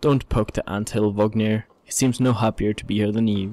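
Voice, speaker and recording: Here is an unremarkable speaking voice from a man at a moderate pace. He has a fairly low pitch and fairly even intonation. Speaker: gaming YouTuber. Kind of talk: let's play commentary with read-aloud game dialogue. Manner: casual, chatty, dryly amused.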